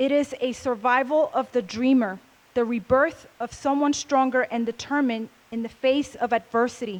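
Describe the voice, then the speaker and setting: Pitched high, a woman speaks with fairly even intonation. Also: moderate pace. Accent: Spanish. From Puerto Rico, west side. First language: Spanish. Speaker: speaker at a convention. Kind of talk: motivational talk.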